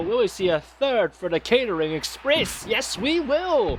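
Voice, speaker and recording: Over noticeable background noise, a man speaks in a playful tone with very wide pitch swings. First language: not English. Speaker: amateur stream host doing wrestling commentary. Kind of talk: live commentary. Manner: casual, playful play-by-play.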